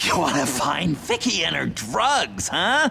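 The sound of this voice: A man puts on a character voice, fairly high-pitched with vocal fry and a bright, sharp tone. He talks slowly with very wide pitch swings over faint background noise.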